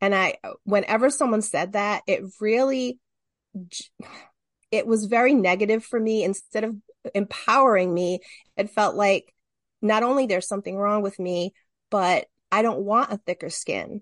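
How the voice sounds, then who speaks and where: Against a quiet background, a woman with a fairly high pitch speaks at a moderate pace with ordinary pitch variation, long, frequent pauses, and a dry, close sound with no echo. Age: 50s. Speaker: podcast guest, writer. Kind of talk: casual chat.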